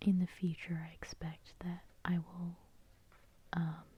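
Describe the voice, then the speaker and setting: Soft-spoken and somewhat breathy, a woman uses a dark, mellow, soothing tone with monotone, flat intonation. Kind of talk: tarot reading. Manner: soft-spoken, soothing.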